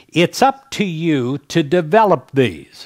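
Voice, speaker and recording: A man talks very slowly, with a quiet background behind him. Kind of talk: fundraising appeal and devotional talk. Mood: warm, gentle, smiling. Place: studio. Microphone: headset.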